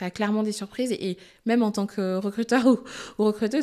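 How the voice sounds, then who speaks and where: A woman talks at a fairly quick pace against a quiet background. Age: 30s. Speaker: HR director; guest. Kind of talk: casual interview. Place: studio. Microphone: studio mic.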